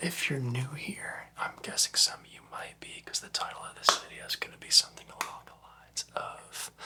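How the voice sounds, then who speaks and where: A whispered delivery moves at a moderate pace. Noticeable noise sits in the background. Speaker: ASMR youtuber. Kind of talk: ASMR gear show-and-tell. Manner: quiet, soft-spoken; casual with fillers.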